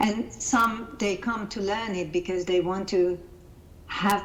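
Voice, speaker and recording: A woman with a Hungarian accent at a very slow pace, ordinary pitch variation, and noticeable background noise. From Hungary. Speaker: life coach and coaching-method founder. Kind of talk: interview. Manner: halting, repeats words.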